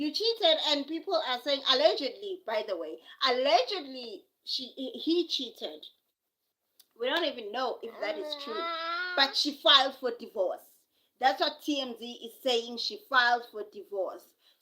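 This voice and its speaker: A woman's raised, projected voice with a South African accent, high-pitched and bright, sharp in tone, with very wide pitch swings, big swings in loudness and a moderate pace. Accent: South African (Zulu). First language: Zulu. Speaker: live streamer. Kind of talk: casual live stream chat. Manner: repetitive, halting.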